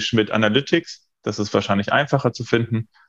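Against a quiet background, a man talks in an unremarkable speaking voice with a fairly low pitch. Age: 20s. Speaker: feng shui consultant and coach. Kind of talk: interview.

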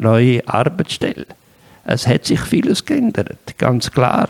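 A man with a medium-pitched voice speaks at a very slow pace in a dry, close recording with no echo. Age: 60s. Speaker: career counselor, psychologist. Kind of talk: interview. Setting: his own place.

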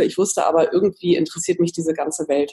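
A woman talks at a very fast pace. Her fairly low pitch shows ordinary variation. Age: 40s. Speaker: magazine editor and coach. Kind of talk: interview.

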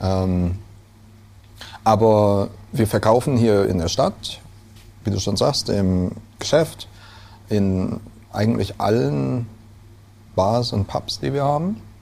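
Speaking very slowly with long, frequent pauses, a man with a fairly low voice and a slight Rhineland accent uses lively intonation. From Rhineland, Germany (Neuwied, Westerwald, Koblenz area). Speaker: brewer. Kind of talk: casual interview. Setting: indoors, over beer. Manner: hesitant, many fillers.

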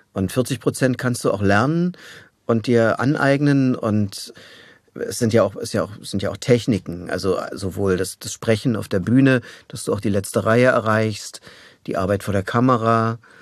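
A man with an ordinary speaking voice, medium pitch, ordinary pitch variation and a moderate pace, against a quiet background. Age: 60s. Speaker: voice actor. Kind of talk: interview. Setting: studio.

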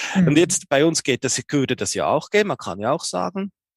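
A man's voice with vocal fry and very wide pitch swings at a moderate pace, dry and close with no echo. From Switzerland, Bern. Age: 40s. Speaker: hearing aid acoustician, business owner. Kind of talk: interview. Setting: video call. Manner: halting, many fillers.

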